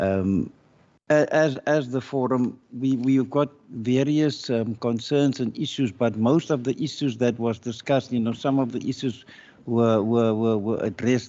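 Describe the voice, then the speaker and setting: A man of medium pitch speaks at a fairly slow pace with fairly even intonation. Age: 60s. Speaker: community forum representative. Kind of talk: public hearing testimony. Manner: halting, many repetitions.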